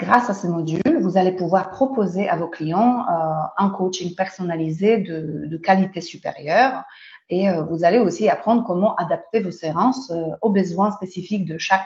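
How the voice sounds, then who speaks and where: A woman with a Polish accent speaks at medium pitch and a fairly slow pace, somewhat breathy, with ordinary pitch variation. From Poland. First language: Polish (speaking French). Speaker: Pilates instructor and trainer. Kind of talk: webinar presentation. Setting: online webinar. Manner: halting, many hesitations.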